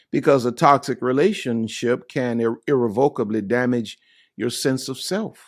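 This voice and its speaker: With a normal speaking voice, a man talks at a medium pitch and moderate pace with ordinary pitch variation. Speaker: pastor. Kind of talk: sermon.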